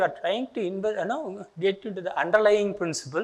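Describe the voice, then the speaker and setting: A man speaks with a Tamil Indian accent. His pitch is high. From India, Tamil Nadu. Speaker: retired engineering professor. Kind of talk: lecture.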